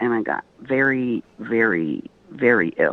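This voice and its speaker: Captured with a dry, close sound and no echo, a woman with an American accent speaks with very wide pitch swings. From Texas. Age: 60s. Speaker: retired engineer. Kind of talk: interview. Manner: halting.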